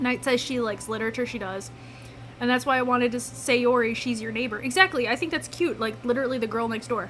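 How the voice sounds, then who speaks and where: Over noticeable background noise, a woman with a high voice talks at a very fast pace. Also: ordinary pitch variation. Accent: Midwestern. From US Midwest. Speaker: gaming streamer. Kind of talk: live gameplay commentary, reading game dialogue aloud. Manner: casual, chatty.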